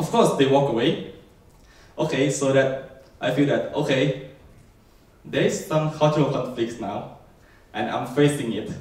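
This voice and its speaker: A man with a Thai accent, fairly high in pitch, fairly slow, with ordinary pitch variation, long, frequent pauses and audible room echo. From Thailand. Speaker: software developer. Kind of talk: keynote talk.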